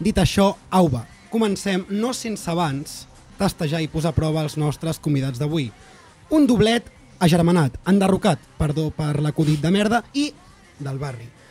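A man with a high pitch and lively intonation talks fairly slowly. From Catalonia. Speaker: podcast host. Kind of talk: casual chat. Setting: studio. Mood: joking, playful. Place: studio. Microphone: studio mic.

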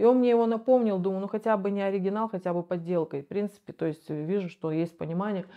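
A woman talks at a very fast pace with ordinary pitch variation. The background is quiet. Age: 40s. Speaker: rehab patient, recovering drug user. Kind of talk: interview testimony. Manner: halting. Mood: reflective, candid. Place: home room. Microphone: lapel.

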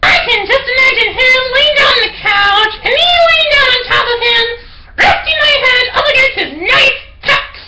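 Against light background noise, a man puts on a character voice with an extremely high pitch at a moderate pace. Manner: sarcastic, excitable.

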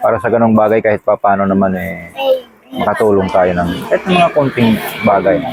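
A man with a fairly low pitch and ordinary pitch variation talks fairly quickly while noticeable background noise carries on. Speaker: vlogger. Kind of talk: casual vlog. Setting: outdoors by a busy roadside.

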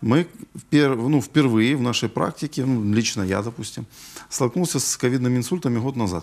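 With a medium pitch and ordinary pitch variation, a man talks at a moderate pace. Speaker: neurologist. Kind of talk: live TV health call-in interview. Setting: TV studio. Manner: hesitant, with filler sounds. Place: studio. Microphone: lapel.

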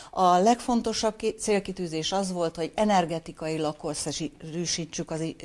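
Pitch varies in an ordinary way while the delivery stays at a fairly slow pace. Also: woman. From northeastern Hungary. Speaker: retired mayor and former teacher; former mayor. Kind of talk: interview. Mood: calm, friendly. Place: office.

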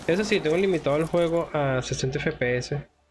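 Noticeable background noise beneath ordinary pitch variation. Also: man. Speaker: gaming youtuber. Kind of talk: gameplay commentary. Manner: casual, exclamatory.

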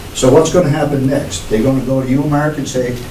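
A man speaks with fairly even intonation. Noticeable background noise is present. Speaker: local resident and landlord. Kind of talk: public comment. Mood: concerned, argumentative. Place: meeting room.

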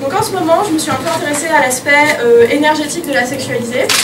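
A woman's high-pitched voice at a moderate pace over loud background noise. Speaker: comedian. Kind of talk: stand-up comedy. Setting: stage with live audience in a cabaret. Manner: animated, cheeky, raunchy storytelling. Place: stage. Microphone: camera far.

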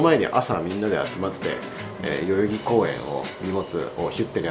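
A man is talking fairly quickly. Clear music can be heard behind him. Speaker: vlogger. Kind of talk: casual vlog chat. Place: cafe. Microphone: phone near.

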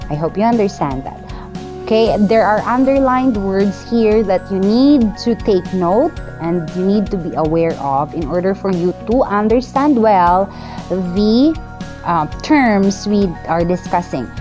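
Clear music can be heard in the background. Over it, a woman talks fairly slowly. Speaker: teacher. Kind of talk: lecture.

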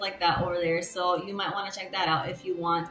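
A woman's voice amid light background noise and audible room echo. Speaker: vlogger. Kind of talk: casual vlog chat. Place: home room. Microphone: lapel.

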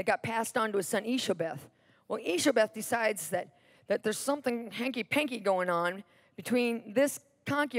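A natural reading voice, nothing more.

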